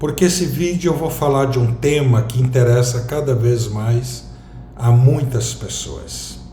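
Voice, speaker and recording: Amid audible room echo and noticeable background noise, a man with a medium pitch talks at a fairly slow pace. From southern Brazil, Rio Grande do Sul. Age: 60s. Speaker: vlogger. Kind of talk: personal reflective monologue.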